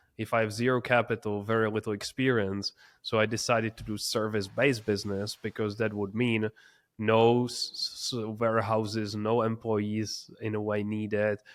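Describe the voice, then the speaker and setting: A man's fairly low, flat monotone with a non-native accent, at a moderate pace. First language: not English. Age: 20s. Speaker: entrepreneur. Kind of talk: interview.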